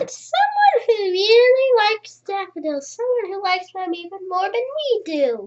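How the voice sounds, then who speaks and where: Putting on a squeaky character voice, a man speaks at an extremely high pitch and moderate pace with hardly any pauses. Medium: read story.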